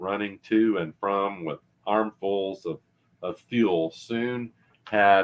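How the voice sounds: Fairly even intonation holds throughout. The clip has a natural reading voice.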